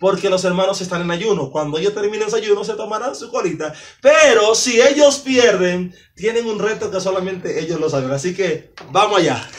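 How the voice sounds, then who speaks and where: His intonation moves in a lively way. The man keeps to a moderate speed. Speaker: evangelist quiz host. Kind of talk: hosting a church quiz game. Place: home room. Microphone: camera far.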